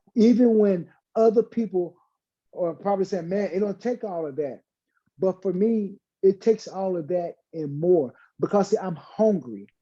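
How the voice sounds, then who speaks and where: Someone speaks at a moderate pace with a Southern US accent. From Arkansas (Hope). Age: 50s. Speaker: fitness guest. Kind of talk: panel discussion.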